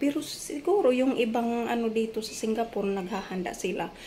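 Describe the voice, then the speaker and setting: At a moderate pace, a woman talks in a high pitch amid noticeable background noise. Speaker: domestic helper vlogger. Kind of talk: casual cooking vlog. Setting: employer's home in Singapore. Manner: soft-spoken.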